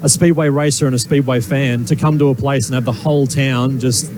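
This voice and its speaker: Noticeable background noise is present. The speaker's intonation is fairly even. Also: man. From Australia, Gold Coast. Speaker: racing driver. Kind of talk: interview. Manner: hesitant, repeats words.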